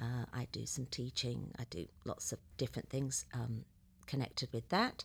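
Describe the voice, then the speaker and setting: With an English accent, a woman talks at a moderate pace. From England. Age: 60s. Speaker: ministry guest, teacher. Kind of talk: casual interview chat. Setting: studio.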